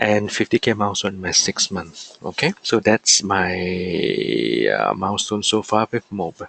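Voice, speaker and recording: The sound is dry and close with no echo, though noticeable background noise is present. A man speaks at a fairly slow pace. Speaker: affiliate marketer. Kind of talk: webinar presentation. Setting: online webinar. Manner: halting.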